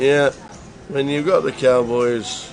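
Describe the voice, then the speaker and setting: With music in the background, a man speaks very slowly in a fairly high, monotone, flat voice. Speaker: poker commentator. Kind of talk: live commentary. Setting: live stream.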